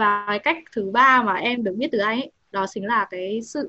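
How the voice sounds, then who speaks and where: A woman's fairly high, bright and sharp voice at a moderate pace, with ordinary pitch variation. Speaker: university student, audience member. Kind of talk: audience question. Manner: halting.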